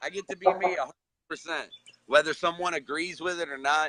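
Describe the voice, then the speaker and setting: The speech moves at a fairly quick pace with a dry, close sound and no echo. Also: man. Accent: American. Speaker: recovering addict, social media director. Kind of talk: casual chat.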